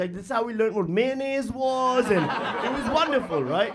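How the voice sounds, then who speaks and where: An animated man with an extremely high pitch and ordinary pitch variation, very fast pace, audible room echo and noticeable background noise. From Pakistan, Karachi. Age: 40s. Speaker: stand-up comedian. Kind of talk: stand-up. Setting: stage with audience.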